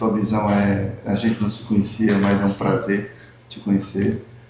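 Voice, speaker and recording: The speech moves at a moderate pace. Noticeable background noise and audible room echo come through. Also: man. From Brazil, Northeast (Rio Grande do Norte, Mossoró). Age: 60s. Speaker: talk show host, former health official. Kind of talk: casual chat. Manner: halting, many fillers and repetitions.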